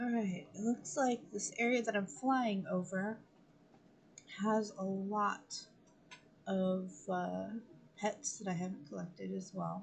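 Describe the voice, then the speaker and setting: Her voice is medium in pitch, somewhat breathy, with ordinary pitch variation. The woman speaks very slowly, leaving long, frequent pauses. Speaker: gaming streamer. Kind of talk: live gameplay stream. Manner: slurred speech; hesitant, many fillers.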